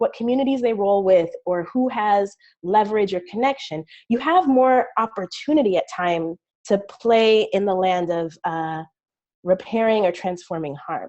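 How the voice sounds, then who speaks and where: Intonation rises and falls in a lively way. The woman speaks fairly slowly. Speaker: community organizer, webinar panelist. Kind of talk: panel presentation. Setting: webinar. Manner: halting, many fillers.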